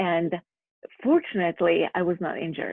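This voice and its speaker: A woman speaks in a Slovak accent with a fairly low pitch. Her intonation is lively and her pace moderate. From Slovakia. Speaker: physical therapist. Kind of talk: interview.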